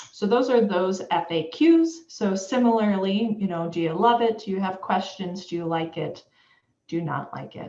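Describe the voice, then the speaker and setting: Using a plain, everyday voice, a woman at a medium pitch talks with lively intonation at a moderate pace. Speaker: education official presenting webinar. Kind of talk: webinar presentation.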